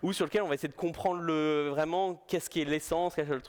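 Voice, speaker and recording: The man's voice sits fairly high. He speaks very fast. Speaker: UX designer, conference speaker. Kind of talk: conference talk. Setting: stage with audience. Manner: casual, hesitant with repetitions.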